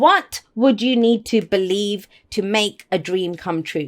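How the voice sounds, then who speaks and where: An animated, fairly high woman's voice with lively intonation. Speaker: tarot reader. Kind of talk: tarot reading monologue. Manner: fast.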